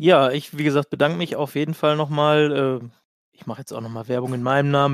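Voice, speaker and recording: This is a man with an unremarkable speaking voice. His pitch sits fairly high and his intonation stays fairly even. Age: 20s. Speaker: amateur golfer. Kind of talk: casual chat.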